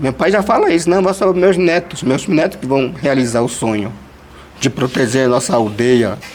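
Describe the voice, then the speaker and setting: A man's medium-pitched voice rises and falls with lively intonation at a moderate pace, with noticeable background noise behind him. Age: 30s. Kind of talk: personal testimony in group meeting. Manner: halting, many fillers.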